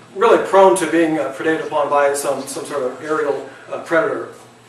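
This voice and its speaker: With an American accent, a man talks at a fairly quick pace amid audible room echo and noticeable background noise. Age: 60s. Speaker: retired wildlife biologist. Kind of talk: presentation to an audience. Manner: halting, many fillers.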